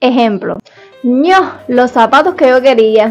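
Her voice is high-pitched with ordinary pitch variation and an upbeat tone, in a Cuban accent. She keeps a moderate pace over faint background music. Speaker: YouTuber. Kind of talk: casual talk to camera. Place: home room. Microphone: lapel.

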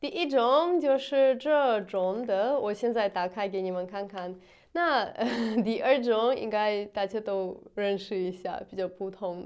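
Over a quiet background, a woman with a Russian accent speaks at fairly high pitch and a fairly slow pace with lively intonation. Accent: Russian-accented Mandarin. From Russia, Moscow. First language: Russian (speaking Chinese). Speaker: vlogger. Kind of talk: casual vlog. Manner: halting, with many fillers. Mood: cheerful, smiling. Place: home room.

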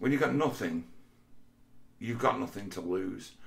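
Somewhat breathy, a man with an English accent speaks at a moderate pace. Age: 40s. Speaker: vlogger. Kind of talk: monologue. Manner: halting.

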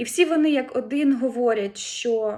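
A woman's fairly high-pitched voice with a dark, mellow tone and ordinary pitch variation, on a very clean recording with a silent background. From Ukraine. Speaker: head of a research institute branch. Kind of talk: formal greeting address. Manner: formal.

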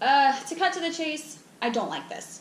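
There is audible room echo and light background noise. A woman speaks at a fairly slow pace. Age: 20s. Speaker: beauty product reviewer. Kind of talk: casual talk to camera. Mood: mildly disappointed, frank. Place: home room. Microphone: camera far.

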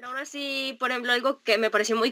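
A bright, sharp tone marks the voice. Nothing stirs behind it. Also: woman. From Mexico. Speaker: traveler, host's granddaughter; interviewer, guest. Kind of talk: casual family interview. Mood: cheerful, laughing. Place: home room.

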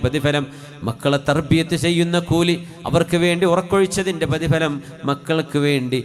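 A man's speech comes with noticeable background noise underneath it. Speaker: Islamic preacher. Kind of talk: sermon with supplication prayer.

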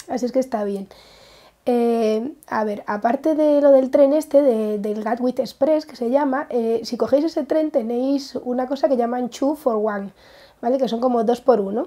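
A woman speaks at a high pitch with a dark, mellow tone and ordinary pitch variation. Her pace is fairly slow against a quiet background. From Spain. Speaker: craft vlogger. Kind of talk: casual vlog. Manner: halting. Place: home room. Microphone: lapel.

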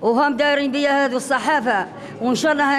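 At a moderate pace, a woman talks in a high voice with light background noise. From Algeria, M'Sila province; Algeria. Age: 60s. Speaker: adult exam candidate; candidate. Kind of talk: interview. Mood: cheerful, proud. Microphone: handheld.

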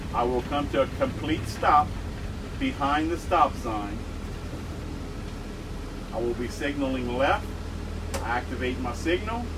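Noticeable background noise surrounds a man who speaks at a fairly slow pace with long, frequent pauses. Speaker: bus driving instructor. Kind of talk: tutorial. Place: bus.

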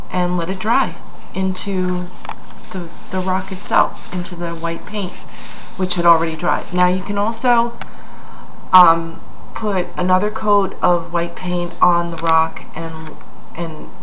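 A fairly low-pitched woman speaking fairly slowly with fairly even intonation and long, frequent pauses, over light background noise. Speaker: craft demonstrator. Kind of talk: tutorial. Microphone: phone near.

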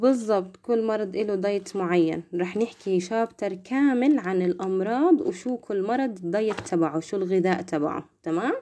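A woman of medium pitch talks with hardly any pauses. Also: ordinary pitch variation, moderate pace. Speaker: nursing student tutor. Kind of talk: lecture. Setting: live stream. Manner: soft-spoken; casual. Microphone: phone near.

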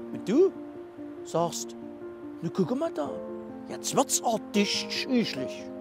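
A man with a Saxon accent talks at a very slow pace, leaving long, frequent pauses. Clear music plays in the background, and the sound is dry with no echo. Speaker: presenter and performer. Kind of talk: comic dialect monologue. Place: open country.

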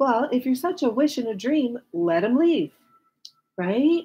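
Over light background noise, a woman talks in a dark, mellow, somewhat breathy tone at a fairly slow pace, with very wide pitch swings. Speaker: tarot reader. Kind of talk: tarot reading commentary to viewers. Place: home room.

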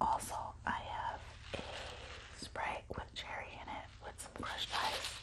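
The whispering moves along very slowly. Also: woman. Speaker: ASMR eating-show creator. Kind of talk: casual talk to camera. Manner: whispered. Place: home room. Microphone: phone near.

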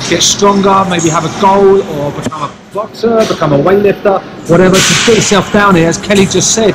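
Noticeable background noise accompanies a man who talks fairly quickly. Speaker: gym vlog host. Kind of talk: casual vlog chat. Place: gym. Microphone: phone near.

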